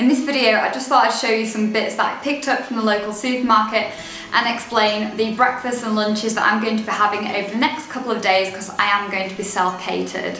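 A woman talks at a very fast pace. Audible room echo and light background noise surround her. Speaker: dietitian and blogger. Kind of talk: casual talk to camera. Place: home room. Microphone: camera far.

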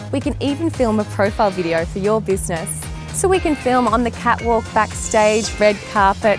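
Over clear background music, the delivery is upbeat and energetic at a moderate pace, with a dry sound and no echo. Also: woman. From Australia. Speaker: TV presenter. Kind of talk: presenter showreel to camera, corporate pitch. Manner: upbeat, energetic. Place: beach. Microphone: lapel.

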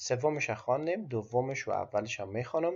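A man with an Afghan accent, somewhat breathy, with lively intonation and a quiet background. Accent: Afghan Persian (Dari). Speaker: driving theory tutor. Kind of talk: instructional explanation mixing German quotes.

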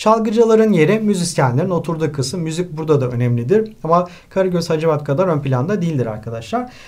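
With a high pitch and lively intonation, a man speaks very fast, hardly pausing at all. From Turkey. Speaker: high school literature teacher. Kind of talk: lecture. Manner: hesitant with filler sounds.

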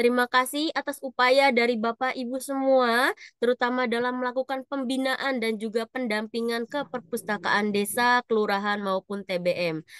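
A woman talks at a moderate pace with hardly any pauses, her pitch high and ordinarily varied. The sound is dry with no echo, over a quiet background. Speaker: online event moderator. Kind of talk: event moderation. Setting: video call. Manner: upbeat. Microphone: webcam.

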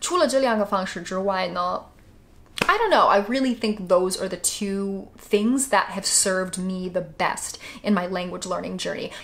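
Ordinary pitch variation from a woman speaking at a moderate tempo. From United States. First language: English (speaking Chinese). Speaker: YouTuber. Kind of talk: vlog. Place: home room.

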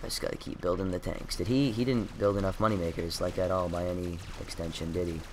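A man's very deep, low voice at a very fast pace, with hardly any pauses and ordinary pitch variation. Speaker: gaming video creator. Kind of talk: casual gameplay commentary. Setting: home recording, gameplay screen capture. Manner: jokey, self-deprecating, animated.

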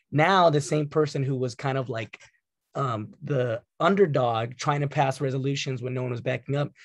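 A man speaks at a moderate pace with an American accent, vocal fry, and ordinary pitch variation. The sound is dry with no echo, over a quiet background. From Santa Clarita, Southern California; Southern California. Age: 20s. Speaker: community college trustee. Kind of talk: panel discussion. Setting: video call. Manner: repeats words when starting sentences. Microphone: video call.

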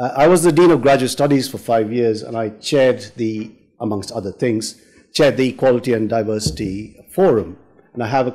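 The voice has a dark, mellow tone and a fairly quick pace over a quiet background. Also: man. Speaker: panel chair. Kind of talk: event introduction. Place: hall. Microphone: podium.

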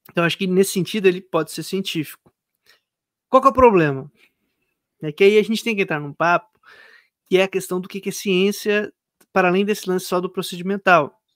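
The background is quiet and the sound is dry, with no echo. The pace is fairly quick, broken by long, frequent pauses. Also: man, high pitch for a man, ordinary pitch variation. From Brazil, São Paulo and southern Minas Gerais. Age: 30s. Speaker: philosophy academic and content creator; content creator. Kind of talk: casual interview. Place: home room. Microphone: studio mic.

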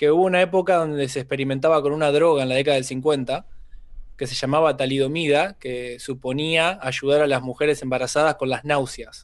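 A man with an Argentine accent and fairly even intonation. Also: fairly high pitch for a man, fairly quick pace, quiet background. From Argentina, San Nicolás de los Arroyos (Buenos Aires province); Buenos Aires province, Argentina. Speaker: stand-up comedian. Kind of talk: casual chat. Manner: talkative. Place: home room. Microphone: studio mic.

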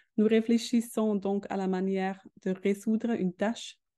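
Speaking very slowly, a woman has a non-native accent and a dark, mellow tone. The background is quiet. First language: not French (speaking French). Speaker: educational robotics expert; presenter. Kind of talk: webinar presentation. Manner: halting. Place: home room. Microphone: video call.

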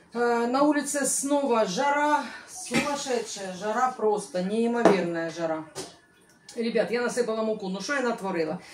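Noticeable background noise surrounds the speaker. She is a woman with lively intonation. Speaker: home cooking vlogger. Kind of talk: casual cooking vlog chat. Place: kitchen. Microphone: camera far.

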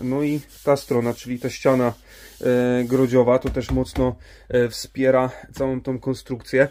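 Flat and monotone, a man speaks at a fairly slow pace. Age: 30s. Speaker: YouTuber, camper van builder; van builder vlogger. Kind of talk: casual vlog. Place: garage. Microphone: phone near.

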